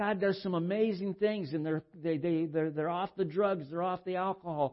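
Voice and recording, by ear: A man speaks with a high pitch. His intonation stays fairly even.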